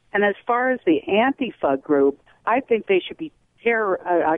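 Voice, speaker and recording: A woman speaks at a moderate pace with a medium pitch. Her pitch swings very widely. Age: 60s. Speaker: caller, retiree. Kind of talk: call-in comment.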